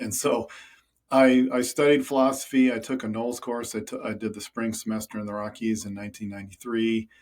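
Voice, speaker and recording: In a very clean recording with a silent background, a man with an American accent talks fairly quickly at a medium pitch, his intonation monotone and flat. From US Midwest, rural Minnesota. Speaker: climber and conservationist. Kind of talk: podcast interview. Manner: casual, with frequent fillers and repetitions.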